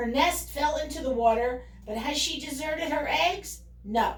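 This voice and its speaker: Putting on a character voice, a woman speaks high in pitch at a moderate pace, with a slight echo. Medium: read story. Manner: commanding, theatrical.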